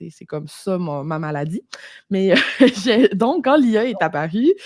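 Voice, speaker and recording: A woman with a Saguenay–Lac-Saint-Jean accent, her pitch swinging very widely and her loudness rising and falling sharply. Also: medium pitch for a woman, fairly slow pace. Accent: Quebec French (Saguenay–Lac-Saint-Jean). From Quebec, Lac-Saint-Jean. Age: 30s. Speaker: entrepreneur, copywriter. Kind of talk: podcast interview. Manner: casual, animated.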